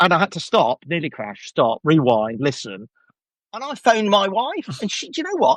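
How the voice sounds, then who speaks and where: With a Birmingham accent, a man talks at a high pitch and a moderate pace in a dry, close sound with no echo. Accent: Birmingham (Brummie). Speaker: podcast host. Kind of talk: casual chat.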